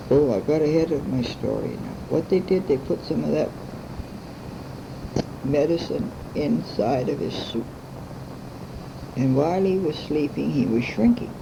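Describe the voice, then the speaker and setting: This woman has a very deep, low pitch and lively intonation at a moderate pace. She takes long, frequent pauses, and background noise is noticeable. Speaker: grandmother telling family stories. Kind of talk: bedtime story telling. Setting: home recording.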